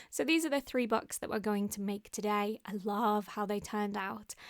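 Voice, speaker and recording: A woman speaks in a very clean recording with a silent background and a dry, close sound with no echo. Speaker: craft youtuber. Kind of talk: tutorial. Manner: fast.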